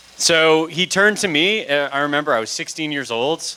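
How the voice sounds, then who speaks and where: A man with a fairly high voice talks over noticeable background noise. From Canada (Toronto). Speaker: music industry consultant and panel moderator. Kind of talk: public talk.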